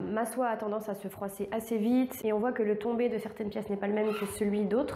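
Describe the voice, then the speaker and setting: At a moderate pace, a woman speaks in a monotone, flat intonation, with audible room echo and noticeable background noise. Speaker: sewing youtuber. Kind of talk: sewing vlog narration. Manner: hesitant with fillers.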